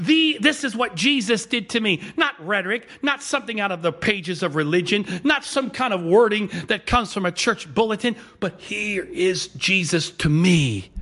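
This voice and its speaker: A man raises and projects his high voice, bright and sharp in tone, animated and lively in intonation, with hardly any pauses. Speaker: pastor. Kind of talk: sermon. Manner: fast, clipped words when excited.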